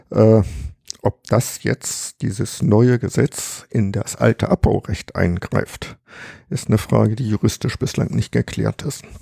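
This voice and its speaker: At a very slow pace, a man with a dark, mellow tone and vocal fry speaks with lively intonation, the sound dry and close with no echo. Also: fairly low pitch for a man. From Harz, Germany. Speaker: retired geologist and cave researcher. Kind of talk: casual interview. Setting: at his home.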